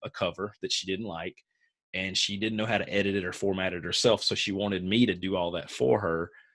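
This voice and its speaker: In a very clean recording with a silent background, a man with a Southern US accent speaks at a fairly quick pace, his very deep, low pitch held in fairly even intonation. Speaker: author coach. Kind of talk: live group coaching call.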